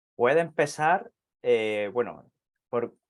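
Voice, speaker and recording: A man speaks at a medium pitch with an Andalusian accent and ordinary pitch variation. The recording is very clean, with a silent background. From southern Andalusia, Spain. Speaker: astrologer. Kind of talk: interview. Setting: live video stream.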